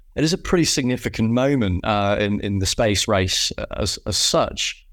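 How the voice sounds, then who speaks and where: A man with a British accent, fairly low in pitch, with ordinary pitch variation, on a very clean recording with a silent background. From UK. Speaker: podcast host. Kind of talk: casual chat; scripted narration.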